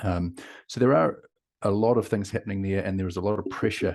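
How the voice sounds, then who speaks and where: Against a quiet background, a man with a New Zealand accent speaks in a very deep, low voice with a dark, mellow tone and fairly even intonation. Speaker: company founder and CEO. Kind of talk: interview.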